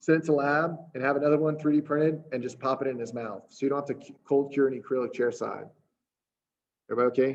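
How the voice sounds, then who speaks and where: A man speaks at a very fast pace in a fairly high pitch with monotone, flat intonation. His loudness swings a lot. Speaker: dental implant lecturer. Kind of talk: lecture. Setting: webinar.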